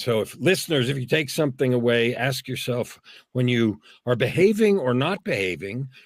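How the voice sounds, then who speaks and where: At a moderate pace, a man with an ordinary speaking voice talks at medium pitch with lively intonation. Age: 60s. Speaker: executive, speaker and author. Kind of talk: inspirational interview.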